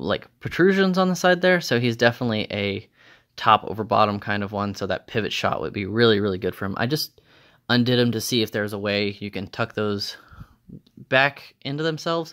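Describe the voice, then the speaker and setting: A man with a medium pitch and lively intonation talks at a fairly quick pace on a very clean recording with a silent background. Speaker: toy unboxing youtuber. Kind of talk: casual unboxing video. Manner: animated; fast.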